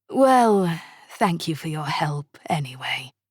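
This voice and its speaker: Using a put-on character voice, a woman speaks fairly slowly at a fairly low pitch with very wide pitch swings. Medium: read story. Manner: smooth, polite.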